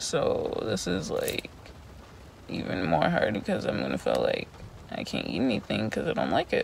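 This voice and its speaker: The voice has a tired tone and moves at a moderate pace. Light background noise sits under a dry sound with no echo. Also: woman. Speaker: vlogger. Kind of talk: casual vlog chat. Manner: tired, pained, muffled speech. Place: car. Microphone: phone near.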